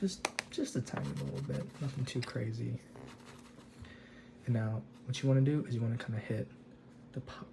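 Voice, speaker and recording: A soft-spoken man of medium pitch talks fairly quickly, with long, frequent pauses and very wide pitch swings. Noticeable background noise is present. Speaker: miniature painting hobbyist. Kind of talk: tutorial. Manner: halting.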